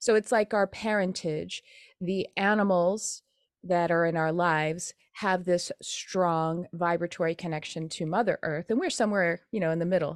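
On a very clean recording with a silent background and a dry, close sound with no echo, a woman with an unremarkable speaking voice talks at a moderate pace in a fairly low pitch, with fairly even intonation. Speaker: spiritual teacher and animal medium. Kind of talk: interview. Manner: casual, conversational.

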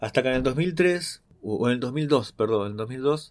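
The speaker is a man at a moderate pace. His pitch is medium. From Argentina, western Greater Buenos Aires. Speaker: musician. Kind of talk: personal storytelling monologue. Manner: hesitant, many fillers.

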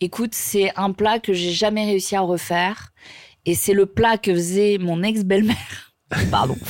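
In an unremarkable speaking voice, a woman talks at a medium pitch and a fairly slow pace, with fairly even intonation and very even loudness. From southern France. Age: 30s. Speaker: journalist and TV presenter. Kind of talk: casual chat.

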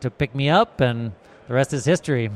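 With an American accent, the speaker goes at a very fast pace in a dry, close sound with no echo. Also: man. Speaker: brewery representative. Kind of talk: casual interview.

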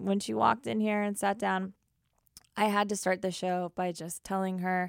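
A woman's enthusiastic, medium-pitched voice, dry and close with no echo, on a very clean recording with a silent background. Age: 30s. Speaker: podcast host, music journalist. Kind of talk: casual interview chat. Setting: small library room, filmed.

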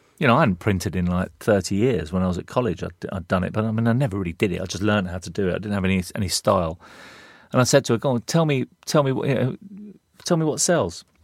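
In a London accent, a man with a fairly low voice talks at a very fast pace on a very clean recording with a silent background. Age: 50s. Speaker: advertising creative director and artist. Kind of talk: casual interview.

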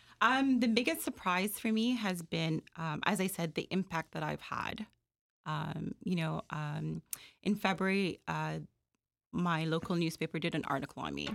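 Her fairly low voice shows vocal fry and ordinary pitch variation as the woman speaks at a moderate pace, recorded very cleanly against a silent background with a dry, close sound and no echo. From Jamaica. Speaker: food entrepreneur. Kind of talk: interview. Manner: hesitant, many fillers.

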